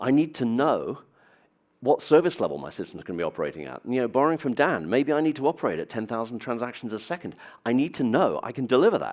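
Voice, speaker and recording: A man with a British accent speaks very fast at a medium pitch, his intonation lively and his voice showing vocal fry. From Britain. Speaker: business executive. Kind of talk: conference talk. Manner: hesitant with fillers.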